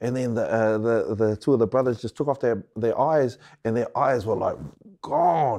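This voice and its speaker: The voice has a dark, mellow tone and fairly even intonation against a quiet background. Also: man. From New Zealand (Wellington), Samoan heritage. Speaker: hip hop artist. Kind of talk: casual chat.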